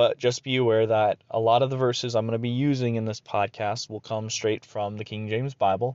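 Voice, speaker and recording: At medium pitch, a man talks with fairly even intonation. His pace is fairly quick. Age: 20s. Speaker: preacher. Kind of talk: solo podcast monologue. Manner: halting.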